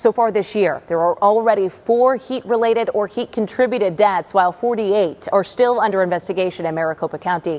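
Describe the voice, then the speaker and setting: Over noticeable background noise, a woman with a medium pitch talks at a very fast pace with ordinary pitch variation. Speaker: TV news anchor and reporter. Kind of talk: TV news anchor read.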